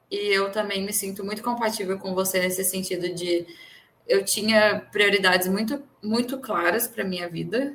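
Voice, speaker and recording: Speaking in an ordinary speaking voice, a woman keeps a medium pitch, a fairly slow pace and fairly even intonation. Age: 30s. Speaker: podcast co-host. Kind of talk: casual chat.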